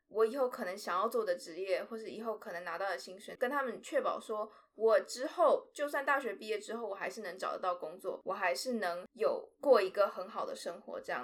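This woman talks at a fairly quick pace. Her voice sits fairly high. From Taiwan, with four years in Shanghai. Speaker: drama student. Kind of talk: interview. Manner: halting, stumbles for words.

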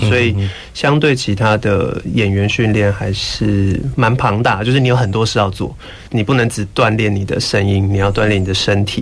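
With noticeable background noise, a man speaks at a moderate pace in a fairly low pitch, with ordinary pitch variation and very even loudness. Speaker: musical theatre actor. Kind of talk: interview. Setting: studio.

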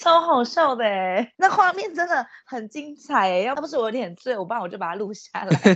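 Speaking at a moderate pace with hardly any pauses, a woman uses a high pitch with very wide pitch swings and big swings in loudness. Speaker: podcast co-host. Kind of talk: casual chat.

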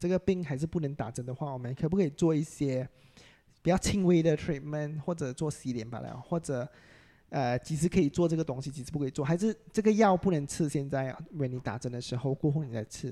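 Dark, mellow tone from a man at a fairly high pitch and a fairly quick pace. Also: ordinary pitch variation. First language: English (speaking Chinese). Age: 30s. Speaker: aesthetic doctor. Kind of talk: casual interview chat.

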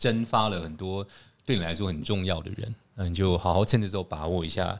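A man speaks at a fairly quick pace. His pitch sits fairly low. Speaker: podcast host. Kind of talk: casual chat. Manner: loud; animated.

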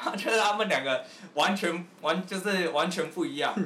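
A raised, projected voice with lively intonation at a moderate pace, with audible room echo and noticeable background noise. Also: man. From Taiwan, Taipei. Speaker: rapper. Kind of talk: casual chat.

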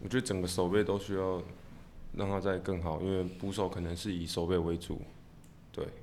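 A man speaks at a fairly quick pace with long, frequent pauses, his very deep, low pitch held in monotone, flat intonation. Room echo is audible. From Taiwan, Tainan. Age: 20s. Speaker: baseball catcher. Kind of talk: interview.

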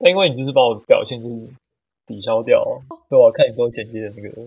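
This man talks at a very fast pace. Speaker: podcast guest. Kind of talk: casual chat.

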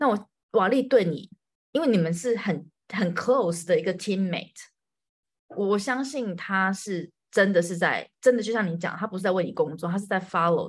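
Woman's voice at medium pitch, somewhat breathy, with ordinary pitch variation and a moderate pace. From Taiwan. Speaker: podcast host. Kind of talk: casual interview chat.

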